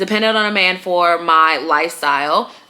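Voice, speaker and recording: Noticeable background noise runs under a woman speaking in a medium pitch. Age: 30s. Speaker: lifestyle podcaster. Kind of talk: casual monologue. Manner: casual, filler-heavy.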